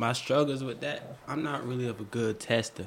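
A man speaks over noticeable background noise. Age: 20s. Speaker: aspiring truck driver. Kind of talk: casual chat.

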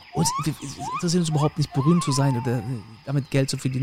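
A man's fairly high voice at a very fast pace, with fairly even intonation and noticeable background noise. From northern Germany, Mecklenburg (Rostock/Schwerin). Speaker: podcast host, tour guide. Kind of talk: casual chat.

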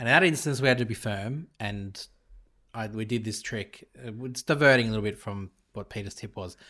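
With an Australian accent, a man speaks in a bright, sharp tone, his loudness swinging widely. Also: medium pitch for a man, ordinary pitch variation, fairly quick pace, very clean recording, silent background. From Australia, Italian family. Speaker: podcast co-host, father. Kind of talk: casual chat.

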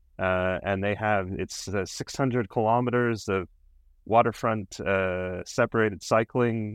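A man with a Canadian accent talks in a normal speaking voice, fairly low in pitch with ordinary variation, and the sound is dry and close with no echo. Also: quiet background. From Canada. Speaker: cycling advocate. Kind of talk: interview.

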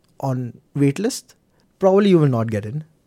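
A man speaks with a Gujarati accent in a dark, mellow tone. The sound is dry and close with no echo, and the recording is very clean over a silent background. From India, Mumbai. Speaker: IT analyst and former international student. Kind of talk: interview. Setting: studio.

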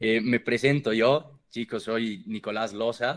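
Over a silent background in a very clean recording, a man with a medium pitch speaks fairly slowly with fairly even intonation. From Bolivia. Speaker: podcast host. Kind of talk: casual chat. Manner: halting, many repetitions.

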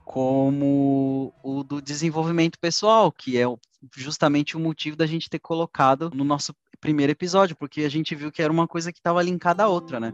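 In a dry, close recording with no echo and a quiet background, a man with a normal speaking voice talks fairly quickly at a fairly high pitch with fairly even intonation. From Brazil, urban periphery. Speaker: podcast co-host. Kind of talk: casual chat.

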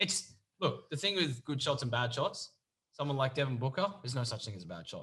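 With an Australian accent, the voice has a bright, sharp tone and vocal fry, along with very wide pitch swings and big swings in loudness. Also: man, medium pitch for a man, fairly quick pace. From Victoria, Australia. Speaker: podcast host. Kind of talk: casual chat.

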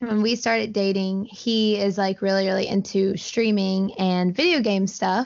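A woman speaks with a Southern US accent at a very slow pace. Her medium pitch stays monotone, with flat intonation. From US South, Alabama (Auburn). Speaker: video game streamer. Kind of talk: casual interview chat.

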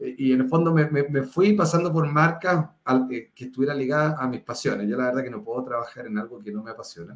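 A man with an ordinary speaking voice, medium in pitch, with ordinary pitch variation. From Chile, Viña del Mar (Valparaíso region). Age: 40s. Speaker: startup founder and CEO. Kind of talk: interview. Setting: video call.

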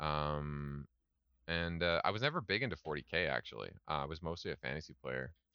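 A man's very deep, low voice with a Canadian accent, at a fairly quick pace, with ordinary pitch variation. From Canada. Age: 30s. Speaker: miniatures business owner. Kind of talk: casual chat.

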